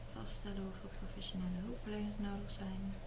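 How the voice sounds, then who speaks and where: Over noticeable background noise, a woman speaks softly. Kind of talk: soft reading aloud of quiz questions. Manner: soft-spoken, quiet reading of answer options. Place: home room. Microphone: phone near.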